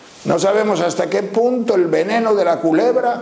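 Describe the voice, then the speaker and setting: A man talks at a fairly slow pace. Noticeable background noise and audible room echo surround his voice. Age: 80s+. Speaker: priest, spiritual teacher. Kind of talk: religious teaching talk.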